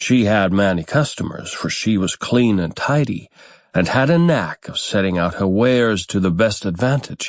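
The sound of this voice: The reading voice is unforced. It is heard on its own.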